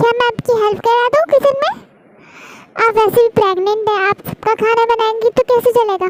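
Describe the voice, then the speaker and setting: A woman puts on a character voice with an extremely high pitch. She speaks at a moderate pace. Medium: fan dub.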